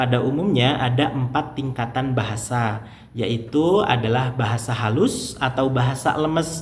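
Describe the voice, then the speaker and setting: With noticeable background noise and audible room echo, a man speaks at a fairly slow pace, with medium pitch and ordinary pitch variation. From Indonesia, West Java (Garut). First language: Sundanese (speaking Indonesian). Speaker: language teacher, YouTuber. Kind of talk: tutorial.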